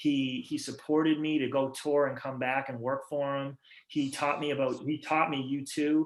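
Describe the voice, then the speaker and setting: This man has a fairly high pitch and speaks with a Massachusetts accent. His intonation is monotone and flat. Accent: Massachusetts accent, noticeable. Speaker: rock band musician. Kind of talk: casual interview chat. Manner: fast, halting with repetitions.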